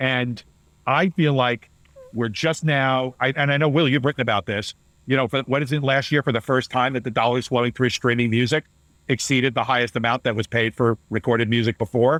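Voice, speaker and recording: A man speaks fairly quickly at a medium pitch. His loudness stays very even, and his intonation is fairly even too. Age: 60s. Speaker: data analyst at talent agency. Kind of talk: podcast interview. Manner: halting with false starts.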